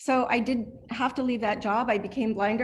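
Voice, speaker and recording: Somewhat breathy speech from a woman at a moderate pace, with ordinary pitch variation. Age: 50s. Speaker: blind student, client of a training center. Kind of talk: testimony. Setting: video call.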